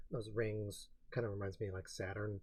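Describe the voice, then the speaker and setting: A man talks at a medium pitch with a somewhat breathy quality. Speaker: film reviewer and blogger. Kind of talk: casual film reaction and commentary. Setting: home recording, quiet uneven mic.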